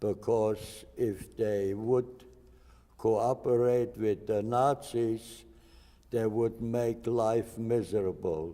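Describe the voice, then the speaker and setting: A man with a German accent, medium in pitch, with a dark, mellow tone, very slow pace, very even loudness and fairly even intonation. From Germany, Hesse. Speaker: Holocaust survivor. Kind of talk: interview testimony.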